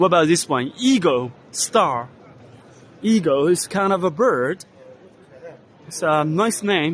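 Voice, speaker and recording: Speaking with a Chinese accent, a man uses a high pitch and lively intonation at a very slow pace, with long, frequent pauses. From China. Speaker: vlogger. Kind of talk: walking tour commentary. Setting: trade exhibition hall. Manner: loud.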